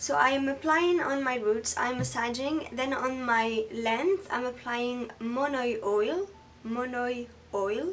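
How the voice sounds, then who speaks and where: Noticeable background noise sits behind a woman speaking with a French accent. Her pitch is high, her intonation lively, and her pace very slow. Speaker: beauty YouTuber. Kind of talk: tutorial. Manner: halting.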